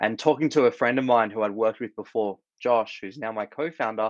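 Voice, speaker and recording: Against a quiet background, a man with an Australian accent talks at a fairly quick pace with ordinary pitch variation, in a dry, close sound with no echo. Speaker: startup founder, former corporate attorney. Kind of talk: interview.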